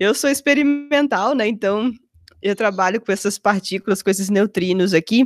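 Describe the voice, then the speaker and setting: A woman's normal speaking voice at medium pitch with ordinary pitch variation and a moderate pace, very even in loudness, on a very clean recording with a silent background and a dry, close sound with no echo. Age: 30s. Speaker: physicist. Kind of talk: casual interview.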